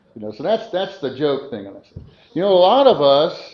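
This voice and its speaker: A man with a fairly high pitch shows very wide pitch swings and vocal fry. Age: 70s. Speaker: preacher. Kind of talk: sermon. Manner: halting; conversational.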